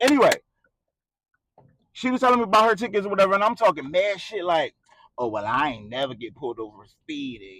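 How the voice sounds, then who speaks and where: A man speaks loudly in an animated tone. The sound is dry and close, with no echo. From Philadelphia, US. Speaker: YouTuber. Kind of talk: casual storytime rant. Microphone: cheap microphone, may pop.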